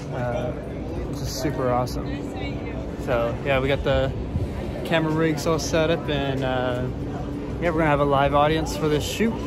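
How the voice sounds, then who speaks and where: Music plays behind a man speaking at a moderate pace. He leaves long, frequent pauses, and the sound is dry with no echo. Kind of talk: casual vlog chat. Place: street. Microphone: phone near.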